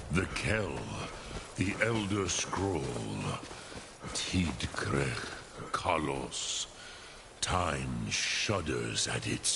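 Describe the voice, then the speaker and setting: A man's put-on character voice, very deep and low in pitch, at a very slow pace with long, frequent pauses over clear background noise. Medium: video game. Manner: grave, ceremonial.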